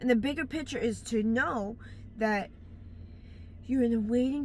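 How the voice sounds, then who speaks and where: With a fairly high pitch and ordinary pitch variation, a somewhat breathy woman speaks at a moderate pace. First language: broken English. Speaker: life advice vlogger. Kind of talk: casual motivational monologue. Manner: halting, self-correcting.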